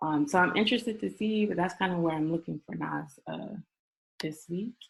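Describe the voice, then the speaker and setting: A woman with vocal fry and very wide pitch swings. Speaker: forex trading mentor. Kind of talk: casual chat; tutorial. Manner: fast; casual, many fillers.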